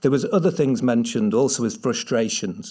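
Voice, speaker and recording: In a very clean recording with a silent background, a man with a medium-pitched voice and a dark, mellow tone talks at a very fast pace with lively intonation. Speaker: market researcher presenting findings. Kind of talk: conference presentation. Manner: hesitant, many fillers.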